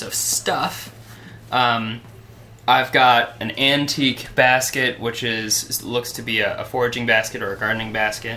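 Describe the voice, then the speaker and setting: The speech comes at a fairly slow pace, with noticeable background noise behind it. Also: man. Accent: American. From Michigan. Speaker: traveling gift project founder. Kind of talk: interview. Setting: at someone's home, not a studio. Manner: halting.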